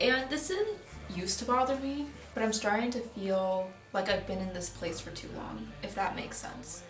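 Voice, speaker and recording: A woman speaks at a medium pitch and a moderate pace, her pitch varying in an ordinary way, with audible room echo and noticeable background noise. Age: 20s. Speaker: vlogger. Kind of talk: vlog voiceover narration. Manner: casual.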